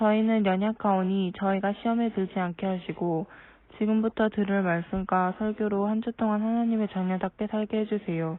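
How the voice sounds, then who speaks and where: A woman of medium pitch talks at a moderate pace in a plain, everyday voice. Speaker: young church member. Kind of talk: prayer.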